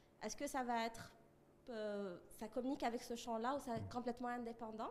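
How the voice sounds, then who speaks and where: Speaking very fast, a woman is heard with audible room echo and noticeable background noise. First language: French. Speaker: audience member asking a question. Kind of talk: audience question. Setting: conference room with audience.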